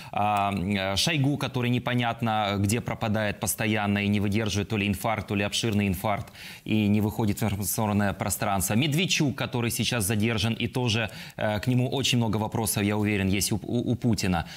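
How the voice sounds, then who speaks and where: Talking at a fairly quick pace, a man with a fairly low pitch keeps his intonation fairly even and his loudness very even. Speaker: TV news presenter. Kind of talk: broadcast interview. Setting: TV studio. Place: studio. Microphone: lapel.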